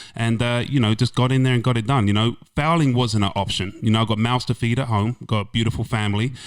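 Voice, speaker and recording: A man with an English accent and a medium pitch speaks at a very fast pace with hardly any pauses and very even loudness, on a very clean recording with a silent background. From England. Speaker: insurance agent, former car salesman. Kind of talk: podcast interview. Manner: animated.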